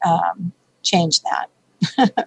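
A somewhat breathy woman's voice comes through with a dry, close sound and no echo. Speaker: baker and health coach. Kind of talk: interview conversation. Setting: radio show.

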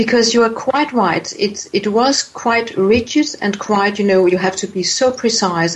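A woman with a non-native accent speaks at a fairly slow pace with ordinary pitch variation. Noticeable background noise runs underneath. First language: not English. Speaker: author, voice coach and healer. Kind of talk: interview. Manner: hesitant, repeating words.

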